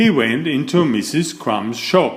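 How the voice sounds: A man speaks at a fairly slow pace in a fairly high pitch. His intonation is lively.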